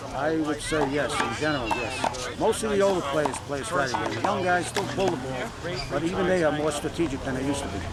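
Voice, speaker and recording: A man's fairly high voice at a fairly quick pace, with ordinary pitch variation, noticeable background noise and audible room echo. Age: 60s. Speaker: handball player. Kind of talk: interview.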